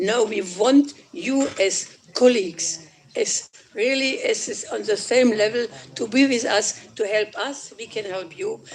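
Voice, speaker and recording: Noticeable background noise sits behind a woman's voice. She talks at a fairly slow pace with lively intonation. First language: German. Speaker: politician. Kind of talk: conference speech. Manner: halting.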